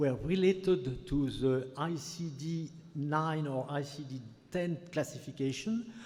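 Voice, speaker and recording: A man with a French accent speaks at a fairly high pitch in a dark, mellow, somewhat breathy tone, his intonation lively amid audible room echo. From France. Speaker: physician, audience member. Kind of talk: conference Q&A. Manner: halting.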